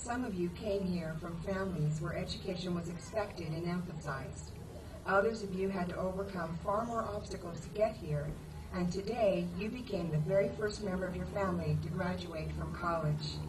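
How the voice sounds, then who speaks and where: Over noticeable background noise and audible room echo, a woman with an American accent speaks at fairly low pitch and a moderate pace. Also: ordinary pitch variation. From Arizona (Thatcher). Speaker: college instructor, faculty commencement speaker. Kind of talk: commencement speech.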